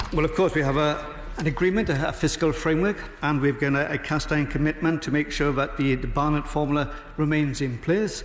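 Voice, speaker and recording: Very fast and at very even loudness, a man with a Welsh accent speaks in a fairly high voice with fairly even intonation over noticeable background noise. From Wales. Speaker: member of parliament. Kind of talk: parliamentary debate speech. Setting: parliament chamber. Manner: formal.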